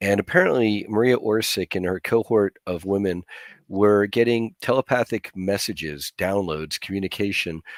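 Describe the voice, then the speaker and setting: Heard on a very clean recording with a silent background and a dry, close sound with no echo, an ordinary speaking voice with an American accent moves at a moderate pace with ordinary pitch variation. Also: man. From US, Chinese American family. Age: 50s. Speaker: disclosure movement activist. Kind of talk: podcast interview. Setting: livestream.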